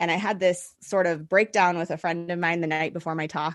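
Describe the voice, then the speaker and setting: A normal speaking voice with fairly even intonation comes through against a quiet background. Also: woman. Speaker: business coach for holistic practitioners. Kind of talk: podcast interview.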